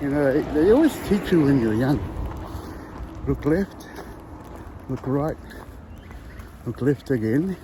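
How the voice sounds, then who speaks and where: Spoken at a fairly slow pace in a New Zealand accent, the clip carries noticeable background noise. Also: man. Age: 60s. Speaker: vlogger. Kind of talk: casual chat. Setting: outdoors. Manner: casual with filler words.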